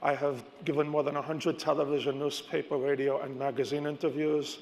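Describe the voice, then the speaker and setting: Fairly quick and monotone, a man speaks with flat intonation and a fairly high pitch. Room echo is audible. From New York. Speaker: stock and crypto analyst. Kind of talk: conference keynote. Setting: stage with audience.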